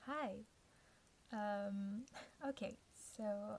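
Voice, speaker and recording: This woman's voice is somewhat breathy, with a dark, mellow tone. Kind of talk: casual talk to camera.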